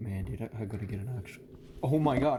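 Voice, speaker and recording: Noticeable noise fills the background while a man whispers. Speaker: YouTuber reacting to videos. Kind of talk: casual reaction commentary. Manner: whispering, talking low.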